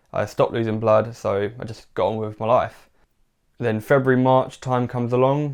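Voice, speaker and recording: A man talks at a fairly quick pace with a medium pitch. His intonation is monotone and flat. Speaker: podcast host. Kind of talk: personal story monologue. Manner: stiff, self-conscious delivery; hesitant with many fillers.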